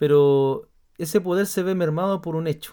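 A man's dark, mellow tone at a fairly slow pace. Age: 30s. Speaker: podcast host, pastor. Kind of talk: casual chat.

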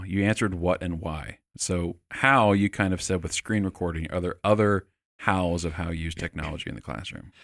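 In a very clean recording with a silent background, a man with a very deep, low pitch speaks at a fairly quick pace in an animated tone, with ordinary pitch variation and hardly any pauses. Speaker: podcast host, teaching center staff. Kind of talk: casual interview chat. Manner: animated, joking.

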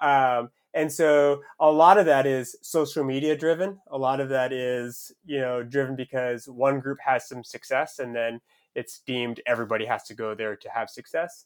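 A plain, everyday voice with an American accent, speaking at a moderate pace. The intonation stays fairly even while the loudness swings widely. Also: man, medium pitch for a man. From US, southern Maine. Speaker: professional runner. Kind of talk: casual interview.

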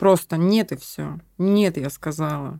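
The clip is very clean, with a silent background. On it, a woman talks. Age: 30s. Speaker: former drug user living with HIV. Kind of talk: personal testimony. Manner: laughs and jokes a lot.

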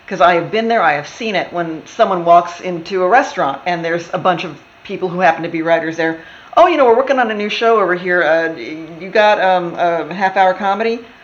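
The pace is fairly quick, with ordinary pitch variation. Noticeable background noise sits under the voice. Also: woman, fairly low pitch for a woman. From Texas. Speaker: TV writer. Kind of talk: casual interview chat.

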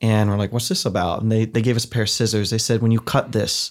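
A man with a Midwestern American accent speaks at a medium pitch with fairly even intonation, in a very clean recording with a silent background. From US Midwest, Ohio. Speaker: theology professor. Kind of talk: podcast interview.

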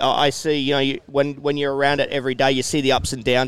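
A man speaks in an Australian accent. His pitch is fairly high. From Australia, New South Wales (Hunter Valley). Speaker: former pro motocross racer. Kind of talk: casual interview. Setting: outdoor event tent, live over PA.

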